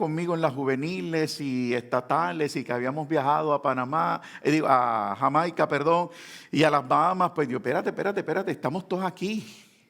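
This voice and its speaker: This man has an ordinary speaking voice, pitched fairly high for a man. He talks at a fairly quick pace with ordinary pitch variation. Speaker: pastor. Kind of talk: sermon.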